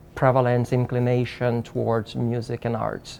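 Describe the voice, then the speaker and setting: A man with a Portuguese accent at a medium pitch, monotone and flat, at a fairly slow pace. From Brazil. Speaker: psychiatrist. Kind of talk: interview. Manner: halting.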